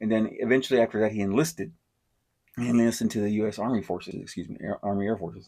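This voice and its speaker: Mumbling at a very fast pace, a man speaks with a fairly low pitch and fairly even intonation. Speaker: podcast host. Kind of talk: casual monologue. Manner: halting, stutters and mumbles.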